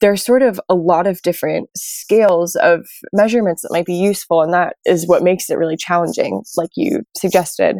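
A woman with an American accent speaks at a medium pitch with ordinary pitch variation and a dark, mellow tone. The sound is dry and close, with no echo. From New York. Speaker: oceanography PhD student. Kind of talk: interview.

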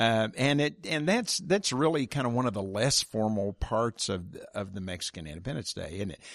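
With an American accent, a man talks at a moderate pace and medium pitch, his pitch swinging very widely. His loudness rises and falls sharply over a quiet background. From Oklahoma. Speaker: podcast host and reporter, former teacher. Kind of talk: interview conversation.

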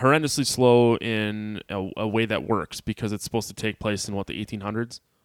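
In an ordinary speaking voice, a man with a fairly low pitch talks at a moderate pace, the recording very clean with a silent background and a dry, close sound with no echo. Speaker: podcast host. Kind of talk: casual chat.

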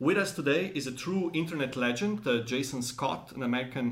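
Lively intonation runs through a plain, everyday voice delivered at a moderate pace. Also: man. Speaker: podcast host. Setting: in person, museum studio.

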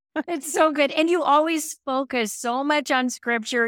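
Recorded very cleanly against a silent background, a woman speaks at a fairly slow pace with ordinary pitch variation and a dry, close sound with no echo. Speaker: podcast host. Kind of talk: interview conversation.

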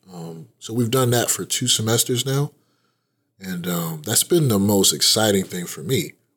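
A man speaks in a plain, everyday voice with fairly low pitch, lively intonation and a moderate pace. His loudness swings widely. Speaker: librarian. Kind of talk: casual interview chat. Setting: library.

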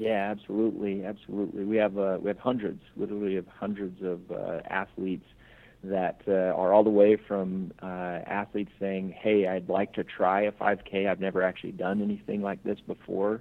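A man speaks in a fairly low pitch with monotone, flat intonation. His pace is moderate. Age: 30s. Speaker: business executive and charity founder. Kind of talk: interview.

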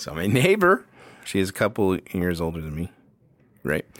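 A man speaks in an animated tone. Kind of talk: casual chat. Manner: animated, jokey.

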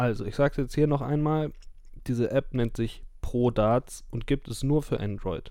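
This man has a medium pitch and a dark, mellow tone, talking at a moderate pace with fairly even intonation. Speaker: darts podcast host. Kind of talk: tutorial. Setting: recording in bed at home.

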